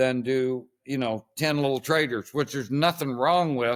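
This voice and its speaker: A man with an ordinary speaking voice talks at a moderate pace. His pitch is medium, with ordinary variation. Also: very clean recording, silent background. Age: 60s. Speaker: horse trainer. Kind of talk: interview.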